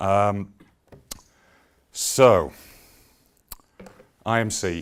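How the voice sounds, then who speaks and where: With a Yorkshire accent, a man speaks in a fairly low pitch and fairly even intonation. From Yorkshire, Leeds. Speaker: business executive. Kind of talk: conference presentation. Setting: stage with audience. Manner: hesitant, many fillers.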